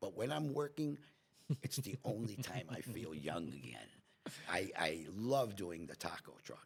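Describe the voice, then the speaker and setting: A man with a fairly low pitch speaks at a fairly slow pace, his voice swinging very widely in pitch and crackling with vocal fry. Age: 70s. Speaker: restaurant owner. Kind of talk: casual chat. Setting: podcast interview.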